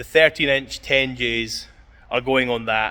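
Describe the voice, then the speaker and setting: A man's medium-pitched voice with a bright, sharp tone and a Scottish accent. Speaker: car enthusiast vlogger. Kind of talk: casual vlog talk. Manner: mumbling.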